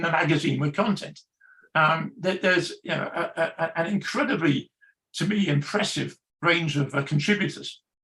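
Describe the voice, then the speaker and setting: A man speaks in an English accent at a moderate pace. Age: 70s. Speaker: magazine editor. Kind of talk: panel discussion. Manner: halting, many fillers and repetitions.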